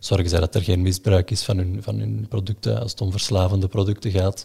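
A man speaks with a very deep, low pitch and a dark, mellow tone. His intonation is lively and his voice somewhat breathy. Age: 20s. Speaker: investment analyst. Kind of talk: explanatory interview. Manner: hesitant, many fillers.

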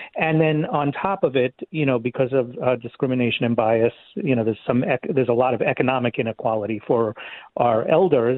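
With a New York accent, a man at a medium pitch talks at a fairly quick pace, keeping very even loudness and ordinary pitch variation. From Queens, New York City. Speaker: nonprofit leader. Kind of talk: interview.

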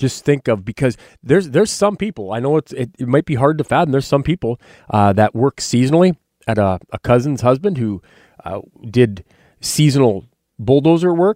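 Fairly quick speech from a man with a North Dakota accent, medium in pitch with a dark, mellow tone and very wide pitch swings, on a very clean, dry, close recording with a silent background and no echo. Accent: Upper Midwest (North Dakota). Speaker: radio host and wildlife biologist. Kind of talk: radio talk show.

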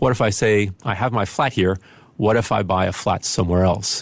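Speaking at a very fast pace, a man uses a fairly low voice with fairly even intonation. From grew up moving around, largely in Spain. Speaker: investment analyst. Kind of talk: radio interview.

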